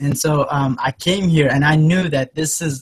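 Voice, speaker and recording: A man speaks at a moderate pace with fairly high pitch. His voice is somewhat breathy, with fairly even intonation. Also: dry, close sound with no echo. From Yemen. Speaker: online entrepreneur. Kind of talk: interview. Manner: hesitant, many fillers.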